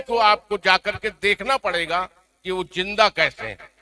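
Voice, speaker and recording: A man's raised, projected voice in a dry, close sound with no echo. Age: 70s. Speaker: veteran journalist. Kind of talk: award ceremony speech.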